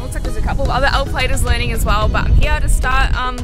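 A woman's voice, dry with no echo, over clear music in the background. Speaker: vlogger. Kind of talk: casual vlog chat. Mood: excited, a bit nervous. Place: street.

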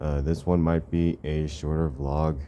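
A man mumbling at a very deep, low pitch, flat and monotone, over light background noise. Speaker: vlogger. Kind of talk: casual vlog chat. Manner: drowsy, mumbled talk lying in bed. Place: home room. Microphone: phone near.

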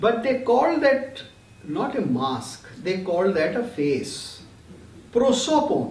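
A man's extremely high voice, very slow pace, and audible room echo. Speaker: lecturer on Greek theatre. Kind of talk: lecture. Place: home room. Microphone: webcam.

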